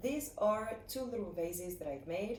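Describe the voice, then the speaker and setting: A woman with a French accent speaks at a moderate pace and a fairly high pitch. Room echo is audible. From French West Indies, Saint Barthélemy. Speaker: ceramics teacher. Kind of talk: tutorial.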